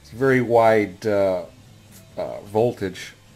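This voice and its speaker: Faint music plays behind a man whose fairly low voice shows ordinary pitch variation. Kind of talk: casual workshop show-and-tell. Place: workshop. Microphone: phone near.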